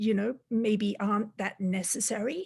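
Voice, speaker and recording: Somewhat breathy and dark, mellow in tone, a woman with an Australian accent speaks at a moderate pace in a fairly high voice with fairly even intonation. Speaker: robotics industry leader. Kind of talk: webinar talk. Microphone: laptop.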